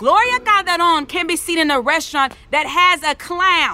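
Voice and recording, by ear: In a put-on character voice, a woman speaks at a moderate pace with extremely high pitch, lively intonation, and a bright, sharp tone.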